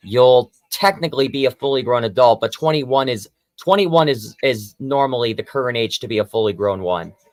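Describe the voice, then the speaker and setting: A man speaks at medium pitch in a normal speaking voice. His delivery is fairly quick and lively in intonation, with hardly any pauses. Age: 20s. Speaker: livestream co-host. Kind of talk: casual chat.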